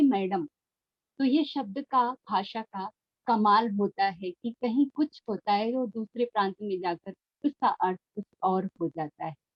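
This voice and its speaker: Her voice carries a somewhat breathy quality. The speaker is a woman. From northern India, Mirzapur (Uttar Pradesh), Awadhi-speaking. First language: Awadhi (speaking Hindi). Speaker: professor. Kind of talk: lecture. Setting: video call. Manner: formal.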